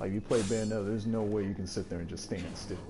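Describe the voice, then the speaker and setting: The voice has monotone, flat intonation, with music playing in the background. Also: man. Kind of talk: casual gameplay commentary. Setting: console headset mic.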